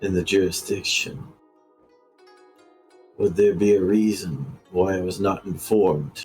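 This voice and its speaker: Putting on a character voice at a fairly low pitch, a man speaks at a moderate pace with long, frequent pauses as faint music plays in the background. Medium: actual play. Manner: formal, stately.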